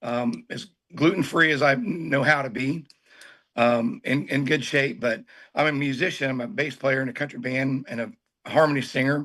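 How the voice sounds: A man speaks at a medium pitch with a fairly bright tone. His voice is hoarse and raspy. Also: ordinary pitch variation, moderate pace.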